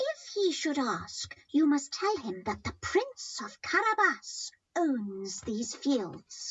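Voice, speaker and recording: The speaker uses a put-on character voice with a high pitch. The pace is very slow, yet there are hardly any pauses. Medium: read story. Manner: crafty.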